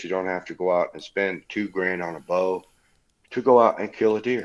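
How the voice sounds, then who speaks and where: Speaking at a fairly quick pace with an American accent, a man has a plain, everyday voice, fairly low in pitch, with fairly even intonation. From Indiana, Leesburg. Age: 40s. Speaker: bowhunter, hunting podcaster, former highway worker. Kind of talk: casual chat.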